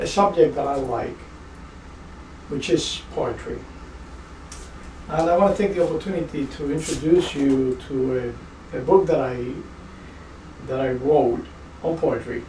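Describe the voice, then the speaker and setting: With a Spanish accent, a man with fairly high pitch speaks at a moderate pace. He leaves long, frequent pauses, and there is noticeable background noise. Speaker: project manager. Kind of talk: casual talk to camera. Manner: playful.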